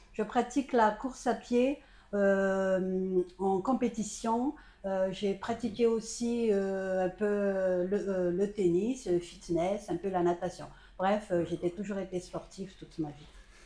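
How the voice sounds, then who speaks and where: Speaking very slowly, a woman uses ordinary pitch variation and a dark, mellow tone. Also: medium pitch for a woman. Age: 60s. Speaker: retired pediatrician and amateur runner. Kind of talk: interview testimony. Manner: hesitant, many fillers.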